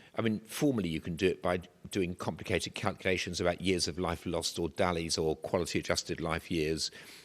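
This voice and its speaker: In an English accent, a man talks at a very fast pace with a very deep, low pitch, and the recording is very clean with a silent background. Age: 70s. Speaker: professor. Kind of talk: lecture.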